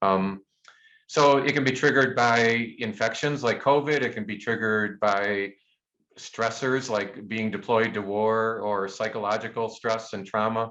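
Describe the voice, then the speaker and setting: A man's medium-pitched voice with a bright, sharp tone, ordinary pitch variation and a moderate pace. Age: 60s. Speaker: physician and pain researcher. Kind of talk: Q&A after webinar lecture. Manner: halting, many repetitions.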